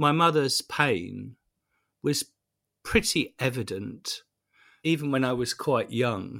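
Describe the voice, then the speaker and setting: A man's bright, sharp voice with vocal fry, at a very slow pace with long, frequent pauses. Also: medium pitch for a man, lively intonation. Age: 50s. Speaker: priest, journalist and broadcaster. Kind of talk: interview. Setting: home study. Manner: halting.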